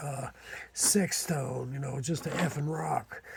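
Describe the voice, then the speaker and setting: With an Appalachian accent, a man speaks at a fairly high pitch with ordinary pitch variation. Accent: Appalachian hillbilly. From Eastern Kentucky. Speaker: amateur artifact collector. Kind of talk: casual video monologue.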